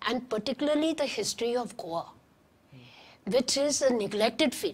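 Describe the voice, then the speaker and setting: At a moderate pace, a woman talks in a high pitch with lively intonation. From Karachi, Pakistan, then Goa. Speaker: historian and author; guest. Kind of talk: interview; interview answer. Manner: halting, with frequent restarts. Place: studio. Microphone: lapel.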